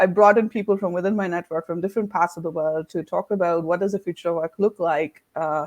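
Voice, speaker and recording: Very fast, with hardly any pauses and fairly even intonation, in an Indian accent and a dry, close sound with no echo. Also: woman, fairly low pitch for a woman. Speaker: leadership coach and consultancy founder. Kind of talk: interview conversation. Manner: many hesitations and fillers.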